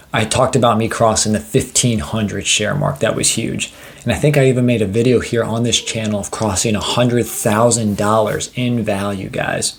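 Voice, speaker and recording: A man at a medium pitch with ordinary pitch variation and hardly any pauses, amid noticeable background noise. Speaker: finance YouTuber. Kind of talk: casual investing vlog. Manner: fast; enthusiastic.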